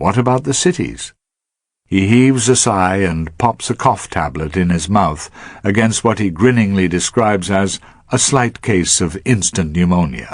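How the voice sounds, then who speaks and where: A man with a normal speaking voice talks at a moderate pace, his fairly low pitch carrying lively intonation over a quiet background. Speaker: broadcaster. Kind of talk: radio essay narration.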